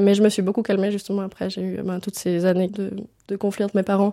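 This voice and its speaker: Her tone dark and mellow, a woman speaks at a very fast pace. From Switzerland, rural northern Vaud. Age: 20s. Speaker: sociology student and sex worker. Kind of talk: interview testimony. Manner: casual, hesitant with many fillers.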